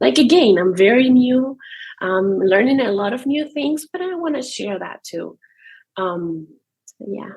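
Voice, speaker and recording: A woman with a non-native accent speaks at a fairly slow pace, high in pitch. Her voice makes very wide pitch swings and big swings in loudness. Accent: foreign. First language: not English. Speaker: new army wife, content creator. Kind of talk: podcast interview. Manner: halting, hesitant.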